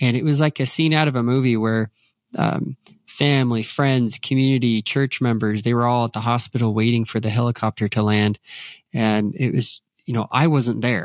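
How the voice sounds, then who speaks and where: On a very clean recording with a silent background and a dry, close sound with no echo, a man with a normal speaking voice talks at a moderate pace and medium pitch, with fairly even intonation and very even loudness. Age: 40s. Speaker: work-life balance coach and author. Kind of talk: interview.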